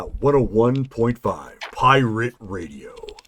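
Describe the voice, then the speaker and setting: A put-on character voice delivers its lines fairly slowly. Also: man, medium pitch for a man. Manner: polished, upbeat broadcaster delivery.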